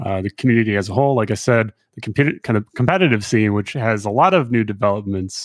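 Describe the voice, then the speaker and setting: A man's normal speaking voice, fairly low in pitch with ordinary pitch variation, at a fairly quick pace, in a dry, close sound with no echo against a quiet background. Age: 30s. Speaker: podcast host. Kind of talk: casual chat.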